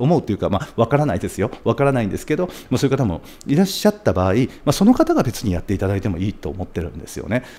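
In a dark, mellow tone, a man talks at a very fast pace from a medium pitch, swinging very widely up and down. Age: 40s. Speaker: video producer and YouTuber; YouTuber. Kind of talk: monologue to camera; casual vlog chat. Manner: polite and formal; frequent filler hesitations. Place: studio. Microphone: studio mic.

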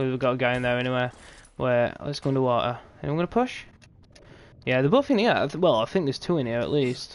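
Fairly quick delivery with long, frequent pauses, in a British accent. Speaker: gaming streamer. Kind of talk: live gameplay commentary. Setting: live stream at night. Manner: quiet; casual, animated.

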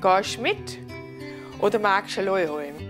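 A woman with a Swabian accent at a fairly slow pace, clear music in the background. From Swabia, southern Germany. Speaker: dialect presenter. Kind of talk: humorous dialect lesson phrases. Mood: playful, humorous. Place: home room.

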